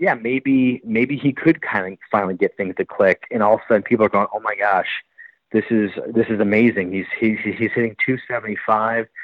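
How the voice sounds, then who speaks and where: This is a man with an ordinary speaking voice and medium pitch. He talks at a moderate pace with ordinary pitch variation. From US Midwest, Milwaukee, Wisconsin. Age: 40s. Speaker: baseball reporter. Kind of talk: podcast interview.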